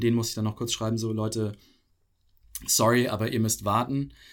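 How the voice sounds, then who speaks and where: This is a man speaking. His pace is fairly quick. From Pakistan (Karachi), German expat community. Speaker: podcast guest. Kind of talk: casual interview.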